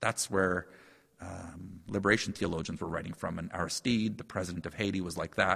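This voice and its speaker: This voice has a bright, sharp tone and a Canadian Prairies accent. It moves at a fairly quick pace with fairly even intonation. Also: man, very deep, low pitch for a man, very clean recording, silent background. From Saskatchewan, Canada. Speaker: professor. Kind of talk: casual chat.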